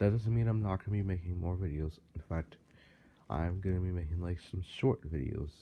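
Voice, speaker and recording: Dark and mellow in tone and somewhat breathy, a man with a very deep, low pitch talks at a fairly quick pace with ordinary pitch variation. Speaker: YouTuber, fan channel creator. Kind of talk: casual vlog monologue. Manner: halting; trying to speak clearly.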